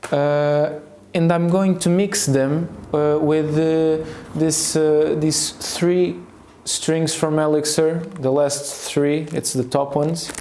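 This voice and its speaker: Very slowly and in a Portuguese accent, a man speaks at a fairly high pitch with monotone, flat intonation and very even loudness, with audible room echo and noticeable background noise. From Portugal. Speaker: youtuber, guitarist. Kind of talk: casual vlog monologue. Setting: at home, filming while changing guitar strings. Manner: hesitant, many fillers.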